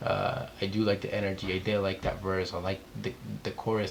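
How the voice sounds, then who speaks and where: In a non-native accent, a man with a fairly low voice speaks at a fairly quick pace with monotone, flat intonation. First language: not English. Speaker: music reaction youtuber. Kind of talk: music reaction commentary. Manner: casual, many filler words.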